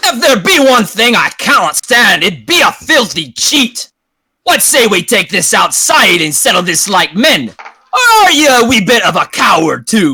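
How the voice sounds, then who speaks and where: A man puts on a gruff character voice at an extremely high pitch. He keeps a moderate pace. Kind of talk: archaic, confrontational. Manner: angry, gruff.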